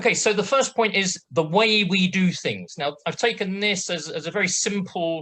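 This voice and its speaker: Speech in a British accent with hardly any pauses. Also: moderate pace. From Britain. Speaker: project management assessor. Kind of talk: webinar presentation. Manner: hesitant, many fillers; brisk pace.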